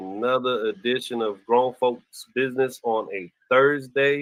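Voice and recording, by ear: Speaking at a fairly slow pace, a man has a medium pitch, ordinary pitch variation and a fairly bright tone.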